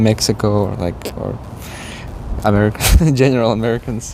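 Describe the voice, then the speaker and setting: A man speaks at a moderate pace with a fairly low pitch. Noticeable background noise is present. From Eastern Europe. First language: Eastern European language. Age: young. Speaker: interview guest. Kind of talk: interview. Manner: halting.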